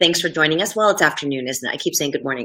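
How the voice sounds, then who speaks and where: The woman's intonation is lively. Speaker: anger management coach. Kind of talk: live stream talk. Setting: live video stream. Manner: casual, filler-heavy.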